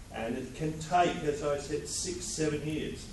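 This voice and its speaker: A man with an Australian accent speaks with ordinary pitch variation. Noticeable background noise and audible room echo are present. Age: 70s. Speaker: inventor. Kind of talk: award acceptance speech.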